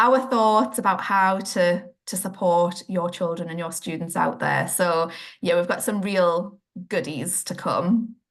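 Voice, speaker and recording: A woman in a northeast English accent, with ordinary pitch variation. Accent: northeast England. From northeast England. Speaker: children's occupational therapist, podcast co-host. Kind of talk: casual chat.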